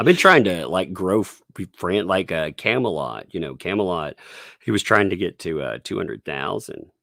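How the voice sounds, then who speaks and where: A man speaks at a moderate pace with a very deep, low pitch, vocal fry, and a bright, sharp tone in a slight Southern US accent. His intonation is lively, and the very clean recording has a silent background and a dry, close sound with no echo. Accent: mild Southern US. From Tennessee. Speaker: YouTuber. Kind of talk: casual chat.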